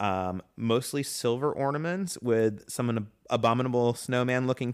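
A man speaks in an ordinary speaking voice at medium pitch with ordinary pitch variation. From Atlanta, Georgia, US. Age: 30s. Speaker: nomad living in an RV. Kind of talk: casual chat.

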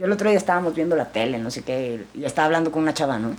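Her pitch fairly low, a woman speaks with very wide pitch swings. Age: 40s. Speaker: actress and businesswoman. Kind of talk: casual interview testimony.

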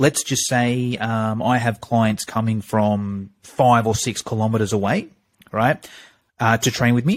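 A man with an Australian accent and a medium-pitched voice speaks at a fairly slow pace with fairly even intonation on a very clean recording with a silent background. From Australia, Sydney; Greek parents. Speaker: fitness marketing coach. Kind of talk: podcast interview.

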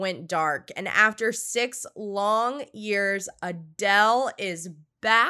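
In a very clean recording with a silent background, a woman talks with a bright, sharp tone, fairly high pitch, ordinary pitch variation and an animated delivery. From Louisiana. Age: 20s. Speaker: podcast host. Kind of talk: casual interview; news reading.

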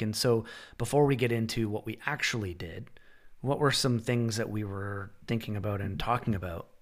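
A plain, everyday voice with a Canadian accent at a moderate pace, in a very clean recording with a silent background. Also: man. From Canada. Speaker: podcast host. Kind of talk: casual interview conversation.

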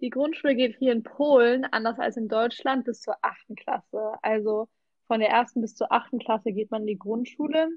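A woman with a plain, everyday voice speaks at a moderate pace, fairly high in pitch, with ordinary pitch variation. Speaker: volunteer language assistant. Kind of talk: casual chat.

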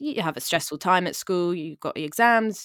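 Dry and close with no echo, a woman's fairly low voice moves at a fairly quick pace with ordinary pitch variation. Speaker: guest with bipolar sharing her experience. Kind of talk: casual interview chat. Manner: fast talker.

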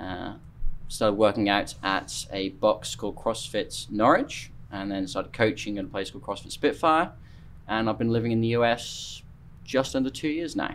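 A man speaks in an East Anglian accent. His pitch is medium and his pace moderate. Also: ordinary pitch variation. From Norfolk, eastern England. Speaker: CrossFit coach and competition judge. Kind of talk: casual interview chat.

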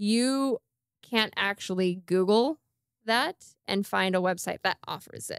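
A woman's unremarkable speaking voice at medium pitch, fairly slow, with ordinary pitch variation and a very clean recording over a silent background. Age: 40s. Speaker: podcast host, nutrition coach. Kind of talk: casual chat.

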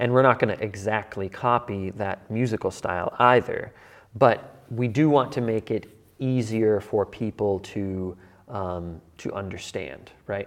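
This man has a plain, everyday voice, fairly low in pitch. He speaks at a fairly slow pace with ordinary pitch variation. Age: 30s. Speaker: church leader. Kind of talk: casual chat.

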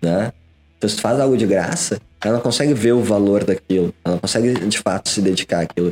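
Over music in the background, a man talks at a very fast pace in a fairly low pitch, with ordinary pitch variation, very even loudness, and a dry, close sound with no echo. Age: 20s. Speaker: digital entrepreneur. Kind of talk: casual interview.

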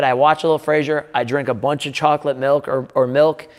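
Against noticeable background noise, a man with an American accent and a fairly high pitch talks at a very fast pace. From Wisconsin, Milwaukee. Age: 30s. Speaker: strength coach and gym owner. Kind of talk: casual talking-head video monologue. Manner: casual, conversational.

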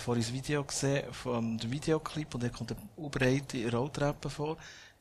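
With fairly even intonation, a man speaks in a somewhat breathy voice. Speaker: podcast and event host. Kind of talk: live interview before audience.

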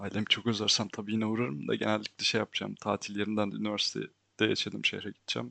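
Captured with a dry, close sound and no echo, a man talks at a very fast pace with hardly any pauses. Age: 20s. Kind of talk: personal monologue. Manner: casual, frequent laughter. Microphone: new microphone.

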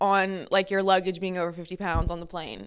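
A woman speaks in an animated tone with an American accent. The recording is very clean, with a silent background. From US South, Lafayette, Louisiana. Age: 20s. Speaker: podcast host. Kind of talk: solo personal storytelling. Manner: animated, casual with frequent laughter.

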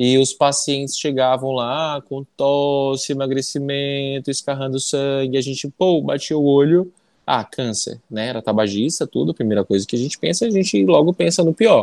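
Here a man has an unremarkable speaking voice at fairly high pitch with ordinary pitch variation. He talks at a moderate pace with hardly any pauses in a dry, close sound with no echo. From Amazonas, Brazil (interior). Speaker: pulmonologist. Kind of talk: interview.

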